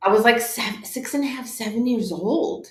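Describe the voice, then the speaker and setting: The speaker is a woman with a Californian accent. Audible room echo fills the recording. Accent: American, California. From Orange County, California (born in Tehran, Iran). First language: Farsi. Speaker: life coach and author. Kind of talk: interview testimony.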